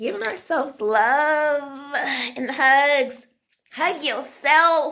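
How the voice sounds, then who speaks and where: A woman speaks loudly, her tone bright and sharp. Her pace is very slow. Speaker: spiritual self-love vlogger. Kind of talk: casual motivational monologue.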